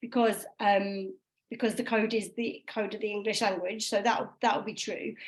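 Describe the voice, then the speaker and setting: A woman talks at a moderate pace in a Midlands accent. The recording is very clean, with a silent background. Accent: Midlands English, short a in bath. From English Midlands. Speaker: phonics trainer. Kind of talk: training session.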